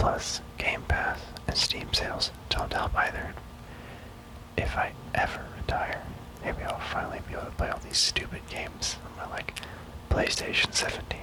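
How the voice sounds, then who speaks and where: Amid noticeable background noise, a man whispers at a moderate pace. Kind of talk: ASMR gaming ramble. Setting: binaural audio. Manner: whispered, soft-spoken.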